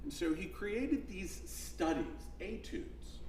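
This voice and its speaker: A man speaks at a moderate pace. Room echo is audible, and background noise is noticeable. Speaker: musicologist. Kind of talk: onstage interview. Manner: loud.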